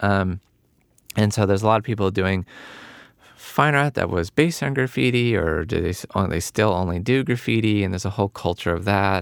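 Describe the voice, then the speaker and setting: A man with an American accent has a plain, everyday voice at a fairly low pitch, recorded dry and close with no echo, very clean, with a silent background. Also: lively intonation, fairly quick pace. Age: 50s. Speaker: filmmaker and artist. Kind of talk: interview conversation.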